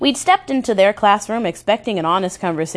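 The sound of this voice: The clip features an unforced reading voice.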